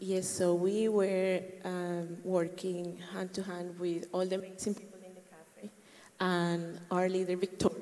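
With a Colombian accent, a woman talks at a fairly slow pace and a medium pitch in a flat monotone, her loudness swinging widely over noticeable background noise. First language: Spanish. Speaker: church member, volunteer. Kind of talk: interview testimony.

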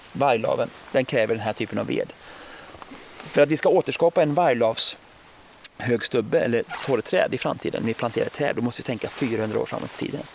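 A man at a fairly quick pace, with long, frequent pauses and noticeable background noise. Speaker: forest biologist. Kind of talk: casual interview. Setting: outdoors.

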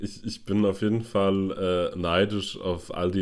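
A man's very deep, low voice, fairly slow and flat in a monotone, on a very clean recording with a silent background. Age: 40s. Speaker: podcast co-host. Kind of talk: casual chat.

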